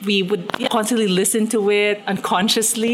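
Over noticeable background noise, a woman speaks at medium pitch and a moderate pace with monotone, flat intonation. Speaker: musician's daughter. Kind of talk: interview.

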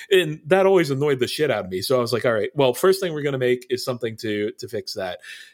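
Very fast and with hardly any pauses, a man talks in a fairly high voice. His intonation is lively. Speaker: game designer. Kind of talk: casual interview chat.

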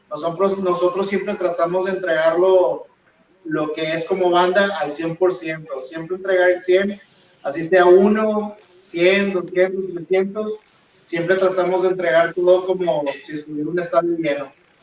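A man talks at a high pitch and a fairly slow pace. His intonation stays fairly even. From Monterrey, northern Mexico. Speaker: rock band guitarist. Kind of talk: interview.

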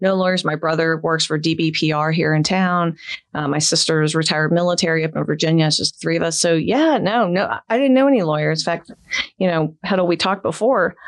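A woman's plain, everyday voice with an American accent, fairly low in pitch, at a fairly quick pace, with ordinary pitch variation and very even loudness. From Florida, St. Petersburg. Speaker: elder law attorney. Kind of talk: casual interview.

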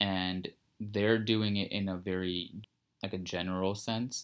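At a moderate pace, a man with a very deep, low pitch speaks in a monotone, flat intonation on a very clean recording with a silent background. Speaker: filmmaker. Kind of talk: casual interview chat.

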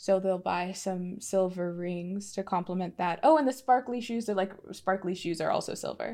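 A woman with an unremarkable speaking voice talks at medium pitch and a moderate pace, with ordinary pitch variation and hardly any pauses. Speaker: tabletop roleplaying game player. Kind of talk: casual chat.

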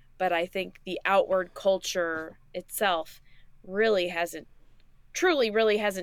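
A woman with a US Midwestern accent at medium pitch, fairly slow pace and fairly even intonation, on a very clean recording with a silent background. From Indiana, US Midwest. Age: 30s. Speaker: podcast guest, host's friend since high school. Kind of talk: casual chat.

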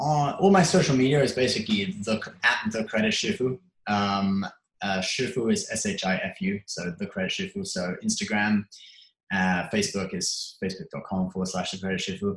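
In an English accent, a man speaks at a moderate pace and medium pitch, somewhat breathy, with very wide pitch swings. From England. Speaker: YouTube creator. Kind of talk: interview. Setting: call.

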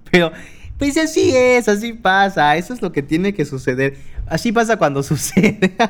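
A man at a moderate pace, animated in tone, his pitch swinging very widely. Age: 20s. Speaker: podcast host. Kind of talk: casual monologue. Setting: home desk recording. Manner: animated, laughing.

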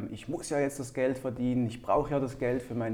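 This voice has a dark, mellow tone, a fairly quick pace and fairly even intonation. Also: man. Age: 30s. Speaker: entrepreneur. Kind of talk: interview.

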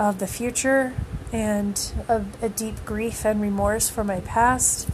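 Background noise is noticeable throughout. A woman talks at a fairly high pitch. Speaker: podcast host, music fan. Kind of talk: casual monologue. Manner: rambling, hesitant with fillers.

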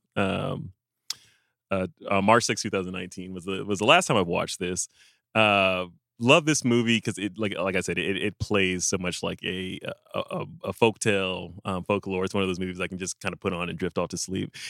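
A man with an American accent and a very deep, low pitch, at a fairly quick pace, in a dry, close sound with no echo and a very clean recording with a silent background. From Los Angeles suburbs, US West Coast. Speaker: film podcast host. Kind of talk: casual chat; scripted segment intro.

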